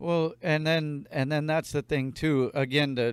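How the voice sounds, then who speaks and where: A man talks at a moderate pace with fairly even intonation. It is a normal speaking voice. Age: 30s. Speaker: podcast host. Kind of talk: casual chat. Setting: studio.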